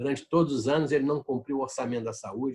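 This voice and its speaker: Somewhat breathy man's voice, fairly high in pitch, at a fairly quick pace. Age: 70s. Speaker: politician and public health manager. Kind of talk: interview.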